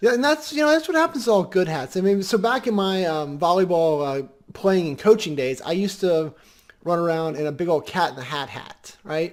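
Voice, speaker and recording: A squeaky, high-pitched man speaks at a moderate pace with lively intonation and big swings in loudness. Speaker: podcast co-host. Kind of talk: casual chat. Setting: live video stream.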